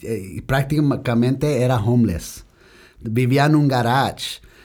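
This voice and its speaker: Over a very clean recording with a silent background, a man with an English accent speaks at a very slow pace in a medium pitch with a dark, mellow tone. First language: English (speaking Spanish). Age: young. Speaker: business owner. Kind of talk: interview. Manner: halting Spanish with English switches.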